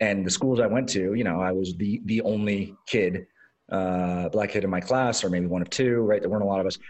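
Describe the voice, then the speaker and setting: A man with a West Coast American accent talks at a very fast pace. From Los Angeles, US. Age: 40s. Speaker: tech executive and investor. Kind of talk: casual interview chat. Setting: remote call.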